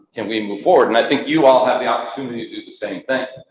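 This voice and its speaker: Room echo is audible here. The voice belongs to a man. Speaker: consultant and coach, workshop presenter. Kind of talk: conference workshop talk. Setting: conference stage with audience.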